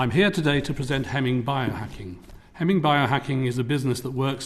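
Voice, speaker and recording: Using an English accent, a man speaks at a very fast pace, at a medium pitch with ordinary pitch variation. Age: 60s. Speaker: tech entrepreneur. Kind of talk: formal presentation. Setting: parliamentary committee hearing. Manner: formal.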